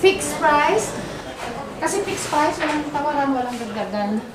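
A woman speaks at a high pitch against noticeable background noise. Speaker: travel vlogger. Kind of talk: casual vlog chat. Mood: cheerful, amused. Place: market. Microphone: phone near.

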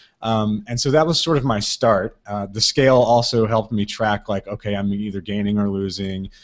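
Delivered at a moderate pace, a man's fairly low voice holds a fairly even intonation. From US South, Mississippi. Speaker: podcast producer; interview guest. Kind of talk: casual interview. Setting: live video chat. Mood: relaxed, friendly. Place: home room. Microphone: video call.

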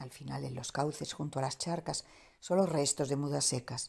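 Speaking at a moderate pace, a woman uses a very deep, low voice with a dark, mellow tone and vocal fry. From Andalusia, Spain. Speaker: poet. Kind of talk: poetry reading.

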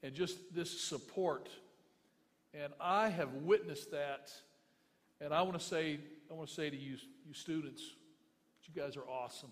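An American-accented man speaks at a moderate pace and fairly high pitch with ordinary pitch variation. Big swings in loudness and long, frequent pauses mark his delivery. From US South, Memphis, Tennessee; Tennessee. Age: 50s. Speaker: pastor. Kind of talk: eulogy. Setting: memorial service with audience. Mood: earnest, consoling. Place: hall. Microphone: podium.

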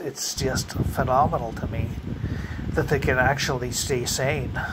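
There's light background noise behind a man speaking at a medium pitch. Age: 50s. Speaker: vlogger. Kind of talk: casual monologue. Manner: halting. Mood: wry, joking about fears. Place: home room. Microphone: phone near.

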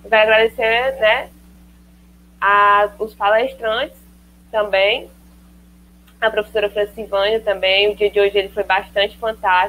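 Speaking at a fairly slow pace with long, frequent pauses, a woman keeps a flat, monotone intonation, very even loudness and a bright, sharp tone over light background noise. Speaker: student monitor and event host; event host. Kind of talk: formal event introduction. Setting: online live stream. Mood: grateful, friendly. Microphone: earbuds.

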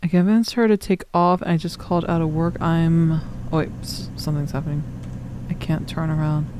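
A woman with a fairly low voice talks at a fairly quick pace with fairly even intonation. There is noticeable background noise, and the sound is dry with no echo. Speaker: gaming streamer. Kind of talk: horror game let's play commentary. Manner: casual, reactive, profane. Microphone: studio mic.

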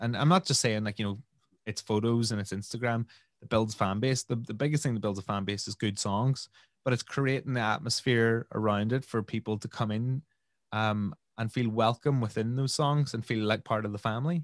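With a Northern Irish accent, a man talks at a fairly quick pace with ordinary pitch variation, the sound dry with no echo and the background quiet. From Northern Ireland, Omagh. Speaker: DJ and musician. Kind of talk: interview answer. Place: home room. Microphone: studio mic.

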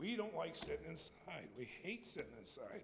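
Audible echo from the room surrounds the voice. It belongs to a man with an American accent. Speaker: public commenter. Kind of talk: public comment at council meeting. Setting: city council chamber. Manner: mumbling.

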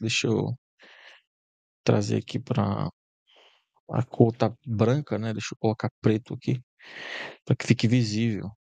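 A fairly slow pace, in a dry sound with no echo over a quiet background. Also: man. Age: 20s. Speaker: YouTube tutorial creator; presenter. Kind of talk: software tutorial. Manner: casual, filler-heavy. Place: home room.

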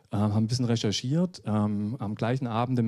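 A man talks at a fairly quick pace with medium pitch and ordinary pitch variation. The recording is very clean, with a silent background. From Saxony (Dresden). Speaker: app agency founder presenting a startup. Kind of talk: conference talk. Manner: hesitant, many filler sounds.

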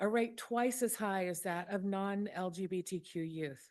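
Against a quiet background, a woman with a Mississippi accent speaks at medium pitch with lively intonation. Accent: Mississippi Southern. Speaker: public commenter. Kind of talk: public comment speech.

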